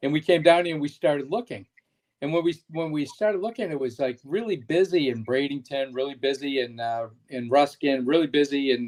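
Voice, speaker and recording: Here a man uses a normal speaking voice, fairly high in pitch with ordinary pitch variation, moving at a fairly quick pace. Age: 60s. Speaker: shoe business owner. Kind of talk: casual chat.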